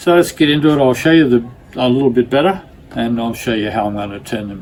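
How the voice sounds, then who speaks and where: A medium-pitched man with an Australian accent and lively intonation, over noticeable background noise. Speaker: glass artist. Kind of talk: tutorial. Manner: hesitant, many fillers.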